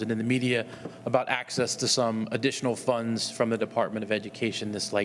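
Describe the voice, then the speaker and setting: Speech comes at a very fast pace in monotone, flat intonation. Noticeable background noise is present. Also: man. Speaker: school board president. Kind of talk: public meeting.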